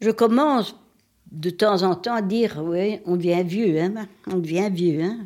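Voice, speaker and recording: A very slow woman's voice at medium pitch, dark and mellow in tone, with ordinary pitch variation. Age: old. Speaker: older woman interviewed about aging. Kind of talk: documentary interview.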